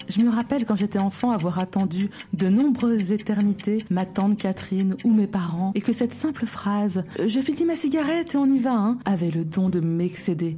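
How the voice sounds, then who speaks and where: A woman talks at a moderate pace with hardly any pauses and very even loudness. Her medium pitch carries lively intonation over noticeable background noise. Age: 30s. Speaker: podcast host. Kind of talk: scripted monologue.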